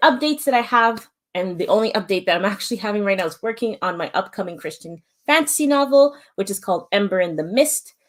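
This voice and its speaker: A woman with a Canadian accent, her fairly high voice full of lively intonation at a very fast pace. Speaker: author and schoolteacher. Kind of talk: livestream writing session chat.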